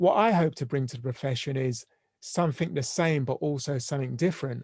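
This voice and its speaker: A London accent comes through here. The speech moves fairly quickly. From London, England. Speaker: family and systemic therapist. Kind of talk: podcast interview. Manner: halting.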